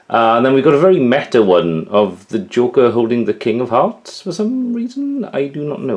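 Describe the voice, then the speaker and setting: Someone with a Welsh accent speaks at a moderate pace over noticeable background noise. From Wales. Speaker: YouTuber showing his collection. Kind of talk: casual show-and-tell vlog. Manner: casual, hesitant with many fillers.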